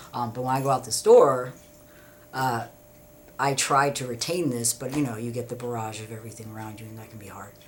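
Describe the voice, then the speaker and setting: The delivery is fairly quick, with fairly even intonation but big swings in loudness. Noticeable background noise runs underneath. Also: man, medium pitch for a man. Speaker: vlogger. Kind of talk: casual monologue. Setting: at home. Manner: halting, many fillers.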